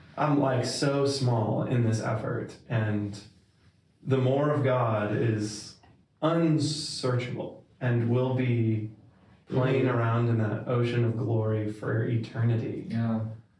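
Over noticeable background noise, a man speaks at a very slow pace and medium pitch, with very even loudness and fairly even intonation. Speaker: podcast co-host. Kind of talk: casual interview.

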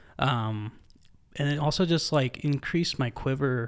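Here is a plain, everyday voice. Its pitch variation is ordinary. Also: man. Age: 20s. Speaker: church staff member, podcast guest. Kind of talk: casual chat.

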